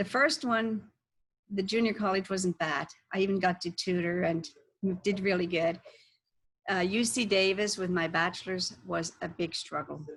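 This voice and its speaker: A woman with a German accent at a moderate pace, medium in pitch with ordinary variation, with long, frequent pauses. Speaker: health coach. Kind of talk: interview.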